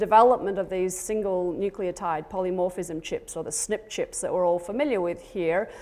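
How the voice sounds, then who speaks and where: A woman with an Australian accent. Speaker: genetics professor and extension lead. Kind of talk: conference talk.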